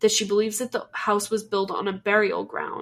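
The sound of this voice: An unforced reading voice.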